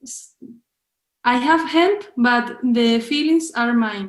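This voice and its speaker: A woman's high-pitched voice in a Spanish accent, at a very slow pace with ordinary pitch variation. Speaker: film director. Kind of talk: interview. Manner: halting.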